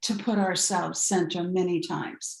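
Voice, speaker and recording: This woman's delivery is fairly slow. There is a somewhat breathy quality to it. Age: 70s. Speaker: empowerment coach. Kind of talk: podcast interview.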